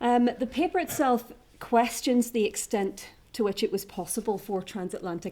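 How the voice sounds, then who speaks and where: With a Northern Irish accent, a woman speaks at a moderate pace in a dark, mellow tone, recorded very cleanly against a silent background. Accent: Northern Irish (Ulster). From Northern Ireland, County Down. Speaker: academic historian. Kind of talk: conference paper presentation. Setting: conference room with audience.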